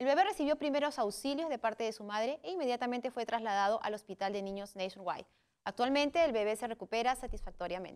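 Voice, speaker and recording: Against a quiet background, a woman with a fairly high pitch talks at a very fast pace with lively intonation. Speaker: co-anchor. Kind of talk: news reading. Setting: studio. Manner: formal, even and measured newsreader tone. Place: studio. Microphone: lapel.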